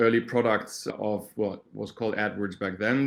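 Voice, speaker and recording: Speaking at a moderate pace, a man with a German accent has a medium-pitched voice. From Germany. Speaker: startup founder and search marketing expert. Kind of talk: interview.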